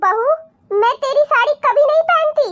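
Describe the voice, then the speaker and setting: A woman puts on a cartoonish character voice at an extremely high pitch, recorded with a dry, close sound and no echo. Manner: soft, polite, yielding.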